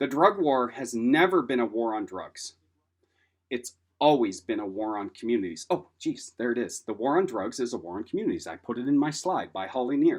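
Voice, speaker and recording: A man with an American accent, medium in pitch with very wide pitch swings, at a fairly quick pace over a quiet background. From Washington State, US Pacific Northwest. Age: 50s. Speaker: lecturer on substance use disorder, person in recovery. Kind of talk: lecture. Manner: casual, conversational with fillers.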